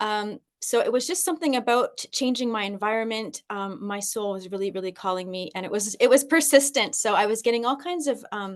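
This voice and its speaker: A woman with a Canadian accent, a fairly high voice, lively intonation and a fairly quick pace. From Canada. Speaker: personal development coach and teacher. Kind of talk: podcast interview. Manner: hesitant, many fillers.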